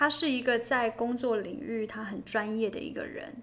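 A woman's fairly high voice at a very slow pace. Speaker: podcast co-host. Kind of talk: casual chat between a couple.

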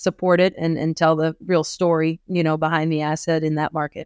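A woman with an American accent speaks at a moderate pace in a fairly low voice. The recording is very clean, with a silent background. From US Midwest, rural eastern Iowa. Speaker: real estate appraiser. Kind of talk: interview.

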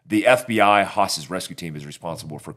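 A man's plain, everyday voice, fairly low in pitch, at a fairly slow pace with lively intonation. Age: 40s. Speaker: army veteran, self-defense instructor. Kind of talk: casual interview chat.

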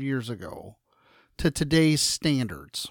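Using a plain, everyday voice, a man speaks at a fairly slow pace with lively intonation and a fairly high pitch. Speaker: podcast host. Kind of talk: casual chat. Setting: video call.

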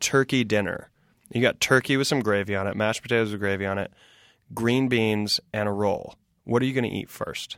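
In an American accent, a man with a plain, everyday voice speaks at a fairly quick pace with ordinary pitch variation, on a very clean recording with a silent background. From US South (South Carolina). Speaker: comedian. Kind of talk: casual chat.

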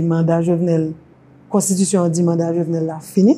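A woman's dark, mellow-toned voice. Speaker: women's rights organization director. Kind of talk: interview. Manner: halting, frequent fillers.

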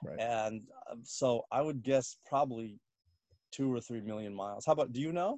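With an American accent, a man speaks in a normal speaking voice at a medium pitch and moderate pace, with ordinary pitch variation. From Washington D.C. area, US. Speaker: comedian. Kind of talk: casual interview.

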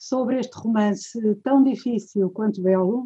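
This woman's voice sits fairly high in pitch, with a dark, mellow tone and a somewhat breathy quality, delivered at a fairly slow pace. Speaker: retired professor, course organizer. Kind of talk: formal introduction. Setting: video call.

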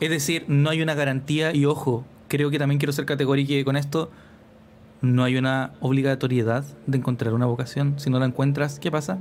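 This man speaks fairly quickly in a monotone, flat intonation, with a fairly high pitch and very even loudness. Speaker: podcast co-host, educator. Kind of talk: casual chat. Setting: video call.

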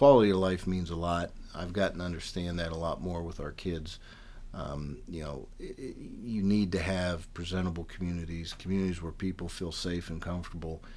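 Amid audible room echo, a man with a western Pennsylvania accent speaks at a moderate pace in a very deep, low pitch with fairly even intonation. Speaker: political candidate. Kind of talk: interview.

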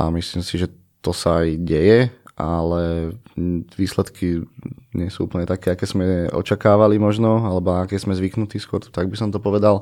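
Very deep, low-pitched man's voice of dark, mellow tone and fairly even intonation. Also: moderate pace. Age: 30s. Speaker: floorball coach. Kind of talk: casual podcast conversation.

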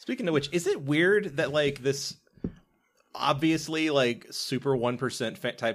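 A man with an American accent talks at a moderate pace with lively intonation, an ordinary speaking voice. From US South. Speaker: podcast host. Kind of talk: casual chat.

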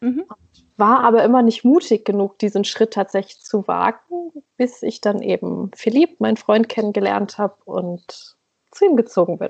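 Vocal fry runs through a woman's fairly high-pitched voice. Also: ordinary pitch variation, moderate pace. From northern Germany, East Frisia. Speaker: blogger, emigrant to Norway. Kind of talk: casual chat.

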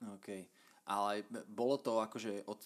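In a plain, everyday voice, a man speaks at a fairly low pitch with ordinary pitch variation. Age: 30s. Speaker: podcast host. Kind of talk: casual interview.

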